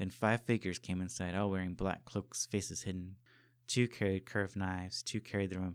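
Just an unforced reading voice

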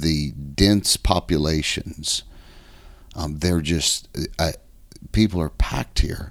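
A man speaks very slowly in a very deep, low voice with vocal fry. His pitch varies in an ordinary way, broken by long, frequent pauses. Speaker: pastor. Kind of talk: casual interview chat. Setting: recording on a trip in Japan.

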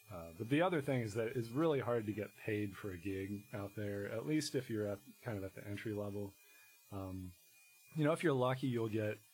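At a fairly quick pace, a man with an American accent speaks somewhat breathily at a fairly low pitch with ordinary pitch variation. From Virginia, Shenandoah Valley (Harrisonburg). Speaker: musician. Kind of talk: casual interview.

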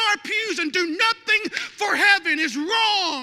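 Shouting in an animated tone, a man with a Southern US accent speaks at a moderate pace over noticeable background noise. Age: 30s. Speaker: lead pastor. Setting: church sanctuary with live congregation. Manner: animated, punchy with frequent audience prompts like amen and okay; self-interrupting, restarting phrases with stumbles and chuckles.

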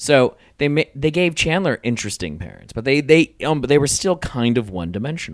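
In a normal speaking voice, a man talks at a fairly quick pace with hardly any pauses, fairly high pitch and lively intonation, on a very clean recording with a silent background and a dry, close sound with no echo. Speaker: podcast host. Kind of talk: casual chat.

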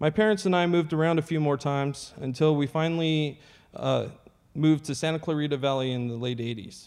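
A man's fairly high voice, a normal speaking voice with ordinary pitch variation, against a quiet background. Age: 30s. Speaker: Navy veteran sharing recovery testimony. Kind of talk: testimony.

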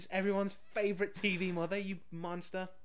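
Here is a man with a British accent. His pitch is high and his intonation monotone and flat. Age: 30s. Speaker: podcast co-host reviewing films. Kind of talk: casual chat.

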